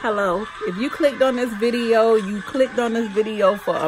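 A woman speaks at a moderate pace. Light background noise sits behind her. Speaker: vlogger. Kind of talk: casual vlog chat. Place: home room. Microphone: phone near.

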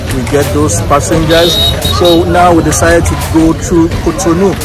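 Loud music plays in the background as a man speaks at a moderate pace, the sound dry with no echo. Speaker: travel vlogger. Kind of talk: casual vlog chat. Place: street. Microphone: phone near.

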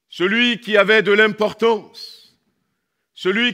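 Projecting a raised voice, a man talks at a very slow pace with ordinary pitch variation. The background stays quiet. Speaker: pastor. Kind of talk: sermon. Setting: church. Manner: animated. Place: church. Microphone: headset.

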